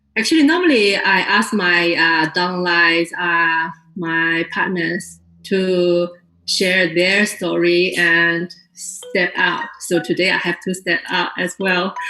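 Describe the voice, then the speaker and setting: A woman with a Chinese accent speaks at a very slow pace, with fairly low pitch and monotone, flat intonation. Music plays in the background. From China. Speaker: network marketing distributor. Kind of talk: testimony to an audience. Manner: unprepared, hesitant.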